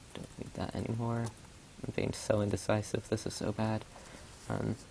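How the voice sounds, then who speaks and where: The speaker is soft-spoken. The pace is moderate. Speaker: gaming streamer. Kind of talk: gameplay commentary. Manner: halting.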